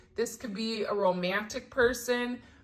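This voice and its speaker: Her voice is fairly high-pitched, with ordinary pitch variation. The woman has a plain, everyday voice. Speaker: tarot reader. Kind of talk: tarot reading.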